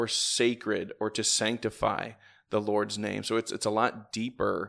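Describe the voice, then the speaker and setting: A man at a medium pitch with a Midwestern American accent, at a moderate pace. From northern Indiana, near Fort Wayne. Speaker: church deacon. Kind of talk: casual chat. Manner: halting, many fillers.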